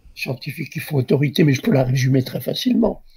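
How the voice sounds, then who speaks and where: A man with a fairly high pitch, a dark, mellow tone and some vocal fry. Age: 80s+. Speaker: obstetrician. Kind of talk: interview answer. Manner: slow, digressive.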